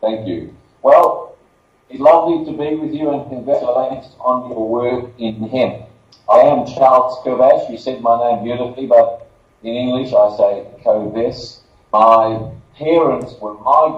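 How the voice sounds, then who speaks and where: A man speaks at a fairly slow pace with medium pitch and ordinary pitch variation. His loudness swings widely, and room echo is audible. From Australia. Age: 60s. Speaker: marketing director and former lawyer. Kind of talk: conference presentation.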